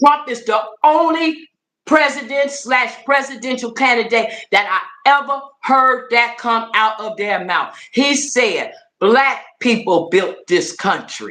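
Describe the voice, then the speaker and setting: A woman speaks at a very slow pace with an American accent. Her high voice has a bright, sharp tone. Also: ordinary pitch variation. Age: 60s. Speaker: political commentator. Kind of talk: casual livestream chat. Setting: livestream. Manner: animated.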